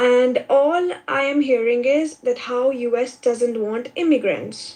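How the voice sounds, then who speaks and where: A woman's high-pitched voice in an Indian accent, with ordinary pitch variation. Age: 20s. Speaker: immigrant student caller. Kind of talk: casual chat.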